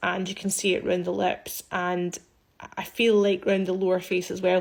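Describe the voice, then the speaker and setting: A woman with a Scottish accent, medium in pitch, at a moderate pace with monotone, flat intonation. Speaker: aesthetics practitioner. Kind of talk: social media commentary. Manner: casual, conversational.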